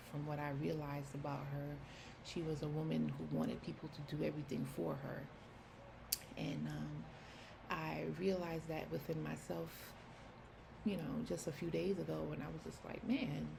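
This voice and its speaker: Over noticeable background noise and audible room echo, a woman with a New York accent speaks at a moderate pace, leaving long, frequent pauses. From New York City. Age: 30s. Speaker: personal vlogger. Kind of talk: personal testimony. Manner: casual, halting with fillers.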